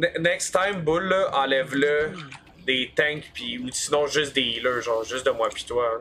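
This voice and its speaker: A man at a fairly slow pace, ordinary pitch variation, light background noise. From Quebec. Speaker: gamer streamer. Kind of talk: casual chat. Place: home room. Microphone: headset.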